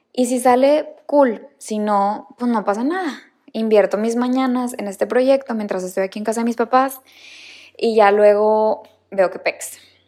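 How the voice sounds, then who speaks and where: At a fairly slow pace, a woman speaks with a dark, mellow tone, a fairly high pitch and ordinary pitch variation. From Mexico, Monterrey. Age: 20s. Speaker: podcast host and new mother. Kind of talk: casual personal monologue.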